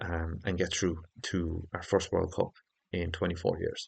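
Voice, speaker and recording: In an Irish accent, a man with a very deep, low pitch speaks in a monotone, flat intonation against a quiet background. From Ireland. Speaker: football YouTuber. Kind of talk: casual football preview monologue. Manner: hesitant, with fillers.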